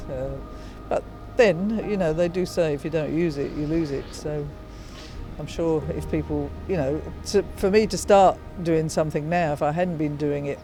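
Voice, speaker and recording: Someone with an English accent speaks at a moderate pace while music plays in the background. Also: woman. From England, North London. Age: 70s. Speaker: retired registered nurse. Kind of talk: interview answer. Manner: casual, hesitant.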